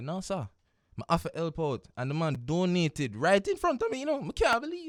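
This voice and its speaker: In a dry, close recording with no echo, a man with a Jamaican accent talks at a fairly quick pace. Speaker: radio host. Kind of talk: radio show monologue. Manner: upbeat, casual.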